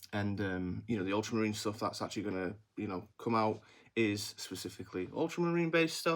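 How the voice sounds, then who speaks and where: A man with an English accent, a fairly low pitch and a fairly quick pace. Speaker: miniatures maker and YouTuber. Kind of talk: casual vlog commentary. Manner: may drag S sounds; halting, many fillers and restarts.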